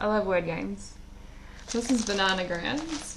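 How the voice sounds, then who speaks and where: Very wide pitch swings mark this woman's fairly slow delivery. Audible room echo surrounds her voice. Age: 30s. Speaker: vlogger. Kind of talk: casual chat. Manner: halting.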